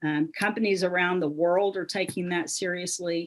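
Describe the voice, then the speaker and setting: In a Southern US accent, a woman speaks at a moderate pace and medium pitch with fairly even intonation against a quiet background. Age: 60s. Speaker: business founder and speaker. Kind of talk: motivational talk.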